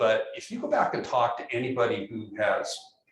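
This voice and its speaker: A man with an American accent speaks amid audible room echo. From California. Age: 60s. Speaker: professor. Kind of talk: lecture. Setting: classroom. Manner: halting, many fillers and repeated words.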